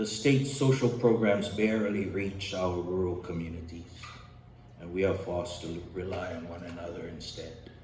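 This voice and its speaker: With a Hawaiian accent, a man speaks at a moderate pace in a very deep, low voice, his pitch varying in an ordinary way while his loudness swings widely. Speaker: community member giving testimony. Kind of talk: prepared public testimony. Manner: formal.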